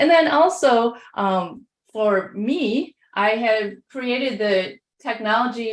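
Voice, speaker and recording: A woman in a fairly high pitch, with a Midwestern accent. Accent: Midwest. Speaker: education technology leader. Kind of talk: webinar presentation. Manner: hesitant with many fillers.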